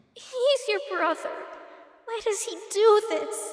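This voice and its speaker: An extremely high-pitched put-on character voice from a woman, fairly slow, with ordinary pitch variation and a clear echo. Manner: tearful.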